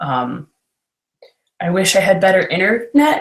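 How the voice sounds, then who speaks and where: Her voice somewhat breathy, a woman talks at a very slow pace. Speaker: makeup tutorial host. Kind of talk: tutorial. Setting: video call livestream. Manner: giggly.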